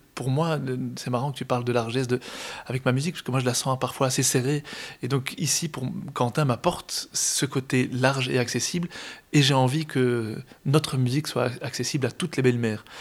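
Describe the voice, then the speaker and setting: At a fairly quick pace, a man with a normal speaking voice talks with fairly even intonation on a very clean recording with a silent background. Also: medium pitch for a man. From Brussels, Belgium. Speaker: accordionist. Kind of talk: interview.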